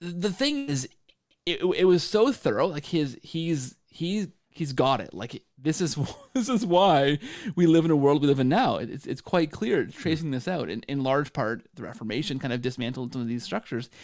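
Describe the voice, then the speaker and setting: On a very clean recording with a silent background, a man with a Canadian accent talks at a moderate pace. His voice is fairly high, with lively intonation. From Canada. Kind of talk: casual chat. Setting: live stream. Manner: halting.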